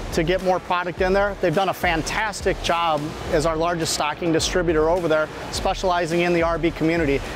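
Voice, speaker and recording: A man speaks at a very fast pace in a high voice. Music plays behind him, and the sound is dry with no echo. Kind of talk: interview answer. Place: factory. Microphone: lapel.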